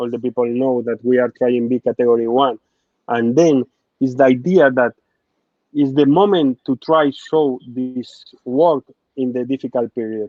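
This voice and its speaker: In a Spanish accent, a man speaks with a passionate tone at a moderate pace, his medium pitch kept to fairly even intonation. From Spain. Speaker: football sporting director. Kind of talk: interview. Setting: live online interview. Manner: halting, non-native phrasing.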